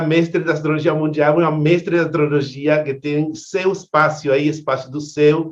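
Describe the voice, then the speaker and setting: This man speaks at a fairly high pitch. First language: Spanish (speaking Portuguese). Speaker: event host, astrologer. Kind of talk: online event introduction. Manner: halting, repeats words.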